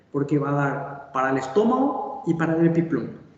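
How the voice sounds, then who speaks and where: A man at a fairly high pitch speaks at a moderate pace, with audible room echo and noticeable background noise. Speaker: surgeon and medical lecturer. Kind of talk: lecture. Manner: halting.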